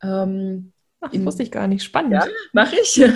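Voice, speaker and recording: A somewhat breathy woman at a moderate pace, medium in pitch. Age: 50s. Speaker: financial educator and author. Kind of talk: interview. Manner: animated.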